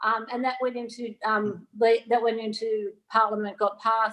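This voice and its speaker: At a moderate pace, a woman speaks with an Australian accent. Her pitch is fairly high and her intonation monotone and flat. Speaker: digital asset regulation consultant, former banker. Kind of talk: panel show interview.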